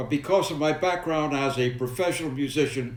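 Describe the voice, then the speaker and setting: Audible room echo surrounds a man with a New York accent speaking at a moderate pace and fairly high pitch. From New York City (Manhattan, Brooklyn). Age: 90s. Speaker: war veteran. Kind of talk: personal storytelling to camera.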